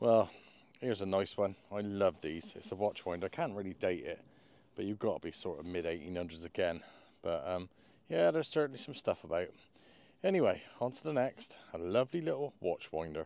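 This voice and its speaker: In a West Country accent, a man speaks at a fairly quick pace and a fairly low pitch. His pitch swings very widely. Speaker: metal detectorist vlogger. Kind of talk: casual outdoor vlog commentary. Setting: outdoors in a field. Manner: animated.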